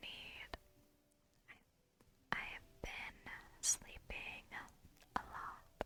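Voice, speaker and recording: Whispering very slowly, a woman speaks. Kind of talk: casual talk to camera while playing a game. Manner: soft, whispered.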